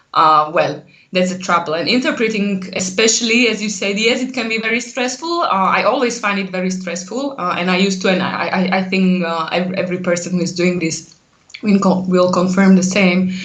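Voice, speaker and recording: Speaking at a fairly quick pace, a woman with a medium pitch and ordinary pitch variation is heard with audible room echo and noticeable background noise. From central Slovakia. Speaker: translation lecturer and researcher. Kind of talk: casual interview.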